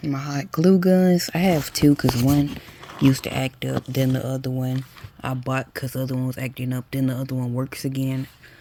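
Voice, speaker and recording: The speaking pace is moderate, with noticeable background noise present throughout. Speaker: lifestyle vlogger. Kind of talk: casual vlog narration.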